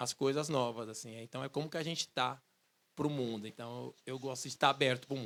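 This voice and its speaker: This man has an unremarkable speaking voice, moving at a moderate pace with ordinary pitch variation. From São Paulo, east zone. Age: 40s. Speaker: musician and researcher. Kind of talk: public talk, conversational. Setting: outdoor bandstand with audience.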